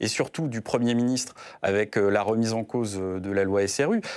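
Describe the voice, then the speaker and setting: In a quiet setting, a man's voice moves through ordinary pitch variation. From Brittany, France. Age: 30s. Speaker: senator. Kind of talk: political interview. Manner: hesitant, many filler sounds. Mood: earnest, measured. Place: studio. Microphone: lapel.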